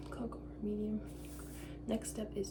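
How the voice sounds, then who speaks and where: Noticeable background noise sits under a soft-spoken woman talking at a moderate pace. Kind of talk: ASMR baking video, casual talk to camera. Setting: home kitchen. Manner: soft-spoken, quiet.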